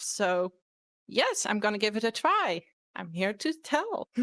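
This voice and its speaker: Speaking in a Dutch accent at a fairly slow pace, a woman with a fairly high pitch makes very wide pitch swings, the sound dry and close with no echo. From Netherlands. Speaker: fursuiter, panel guest. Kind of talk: panel talk. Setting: live online convention panel.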